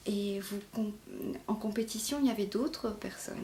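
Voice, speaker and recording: Against noticeable background noise, a woman talks at a moderate pace with fairly high pitch. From Mauritius. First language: Mauritian Creole (speaking French). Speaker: novelist. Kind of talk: interview. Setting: at home in her apartment. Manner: halting, many fillers.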